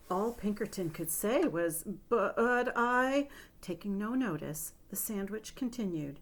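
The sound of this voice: The voice reads in an unforced way.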